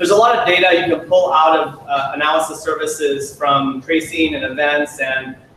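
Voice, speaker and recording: There is noticeable noise in the background. The speech moves at a fairly quick pace. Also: man. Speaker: software product manager presenting to user group. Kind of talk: technical presentation. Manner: fast; frequent fillers and restarts.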